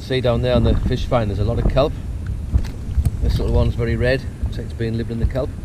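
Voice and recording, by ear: Talking at a fast pace over clear background noise, a man with a medium-pitched voice keeps his pitch moving very little.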